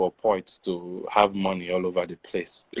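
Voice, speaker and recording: A man is speaking at a moderate pace. The sound is dry and close, with no echo. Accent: Nigerian. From Nigeria. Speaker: poet. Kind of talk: interview.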